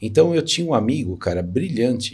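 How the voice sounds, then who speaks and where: Lively intonation marks this man's fairly quick, somewhat breathy delivery. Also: very clean recording, silent background. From São Paulo, Brazil (east zone). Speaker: entrepreneur. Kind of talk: interview.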